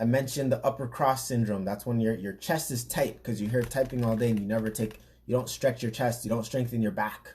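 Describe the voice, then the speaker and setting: This man's voice is somewhat breathy, medium in pitch, with fairly even intonation. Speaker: fitness trainer and podcast host. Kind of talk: casual podcast talk.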